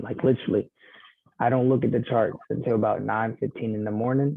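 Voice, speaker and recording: Speaking at a fairly quick pace, a man in a normal speaking voice uses a medium pitch and fairly even intonation with an American accent. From US, urban housing project, foster care. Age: 20s. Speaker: trading mentor. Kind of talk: casual tutorial on a recorded call.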